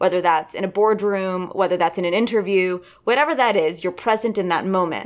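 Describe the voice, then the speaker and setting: In a very clean recording with a silent background, a woman talks at a moderate pace in a plain, everyday voice. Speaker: actor and voice coach. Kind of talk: interview.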